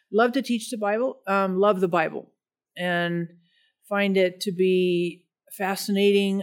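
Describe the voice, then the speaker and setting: With an American accent, a woman uses an ordinary speaking voice at a medium pitch and fairly even intonation. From Denver, Colorado, US. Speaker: pastor and Bible teacher. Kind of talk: casual interview chat.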